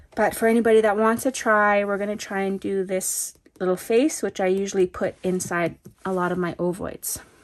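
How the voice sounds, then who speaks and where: A woman with a plain, everyday voice at a medium pitch, fairly quick in pace and fairly even in intonation, against a quiet background. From northern British Columbia, Canada. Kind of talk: tutorial. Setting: recorded alone, no live audience.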